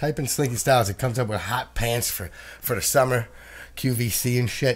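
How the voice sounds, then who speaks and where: Over music in the background, a man talks in an animated tone at a medium pitch. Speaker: podcast host. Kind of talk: casual chat.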